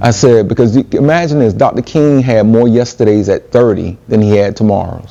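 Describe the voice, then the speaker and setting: A man's fairly quick delivery with hardly any pauses, very even loudness, and noticeable background noise. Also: medium pitch for a man, ordinary pitch variation. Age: 60s. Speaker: event organizer. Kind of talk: speech to youth retreat audience.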